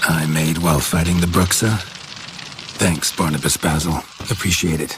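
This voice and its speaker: A man uses a put-on character voice with a very deep, low pitch. His pace is moderate, and clear background noise is present. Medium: machinima. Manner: terse, dry, clipped.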